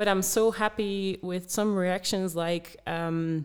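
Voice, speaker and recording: A woman with a Dutch accent speaks in a monotone with flat intonation. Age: 20s. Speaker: former distance runner, running advisor. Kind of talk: podcast interview.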